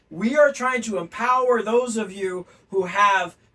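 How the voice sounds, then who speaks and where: Using a raised, projected voice, a man talks in an animated tone at a high pitch. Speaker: language teacher. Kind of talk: lecture.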